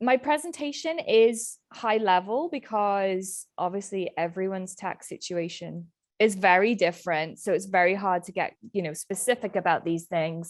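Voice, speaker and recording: A woman at a medium pitch, moderate pace and ordinary pitch variation. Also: hardly any pauses. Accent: British. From UK. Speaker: accountant, small business owner. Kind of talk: webinar presentation.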